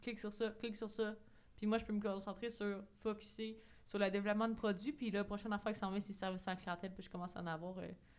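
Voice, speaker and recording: A woman talks very fast in a Quebec accent. Her pitch is medium and her intonation is flat and monotone. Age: 20s. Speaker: entrepreneur. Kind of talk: casual chat.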